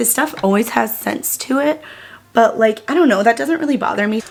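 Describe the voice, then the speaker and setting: A woman speaks at a fairly high pitch with ordinary pitch variation. Noticeable background noise runs underneath. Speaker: beauty YouTuber. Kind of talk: makeup tutorial. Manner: animated.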